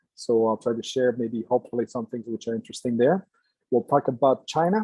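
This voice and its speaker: The speaker goes at a fairly quick pace with a Quebec accent. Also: man. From Quebec, Canada. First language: French. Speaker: engineer and entrepreneur. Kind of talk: lecture. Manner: halting, many fillers.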